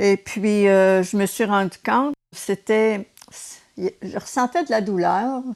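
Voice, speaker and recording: In a Quebec accent, a woman speaks very slowly at a medium pitch with ordinary pitch variation, the sound dry and close with no echo. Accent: Québécois French. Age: 70s. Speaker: retired nurse and race walker. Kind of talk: interview.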